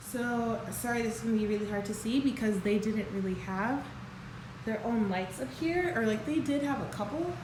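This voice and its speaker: Amid audible room echo and noticeable background noise, a woman with a fairly high pitch talks at a moderate pace with lively intonation. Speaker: vlogger. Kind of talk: home tour vlog. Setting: empty house at night, handheld. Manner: casual with many fillers.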